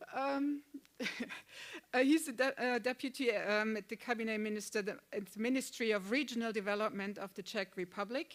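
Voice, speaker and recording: In a German accent, a woman speaks at a fairly quick pace. Her pitch is fairly high. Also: ordinary pitch variation. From Germany. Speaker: panel moderator. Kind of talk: moderated panel introduction. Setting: conference venue with online participants. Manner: halting, many fillers.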